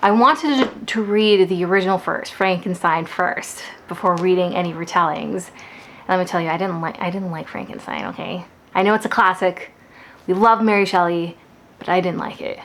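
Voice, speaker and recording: With ordinary pitch variation, a woman talks at a medium pitch. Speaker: book vlogger. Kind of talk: casual vlog talk. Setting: at home. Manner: fast; animated.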